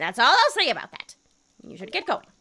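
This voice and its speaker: A put-on character voice at a very fast pace, with big swings in loudness. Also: woman, high pitch for a woman, very wide pitch swings. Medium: game stream. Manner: warm, affectionate.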